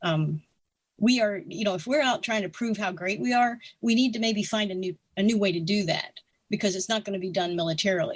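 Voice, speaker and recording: A woman with an American accent speaks in a somewhat breathy voice at medium pitch. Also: ordinary pitch variation, fairly quick pace. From US South, North Carolina mountains. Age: 60s. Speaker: retired air force officer and writer. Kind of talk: interview conversation. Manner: halting, many fillers and restarts.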